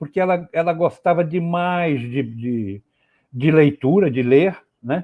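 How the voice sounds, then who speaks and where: This man's pitch is fairly high. It swings very widely as he speaks. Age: 70s. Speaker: poet. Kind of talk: interview. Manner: halting, many repetitions.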